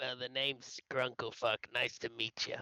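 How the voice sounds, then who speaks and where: Putting on a raspy character voice, a man talks at a moderate pace with a medium pitch. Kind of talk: gruff, mock-introductory.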